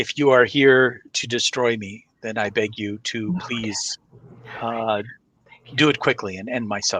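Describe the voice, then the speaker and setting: A man puts on a raspy character voice at a medium pitch, speaking at a moderate pace with big swings in loudness. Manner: pleading, weary.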